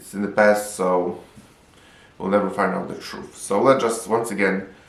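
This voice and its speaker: Moderate-paced speech from a man with a Polish accent, fairly low pitch and ordinary pitch variation, plus audible room echo. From Poland. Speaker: film reviewer. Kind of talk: video review.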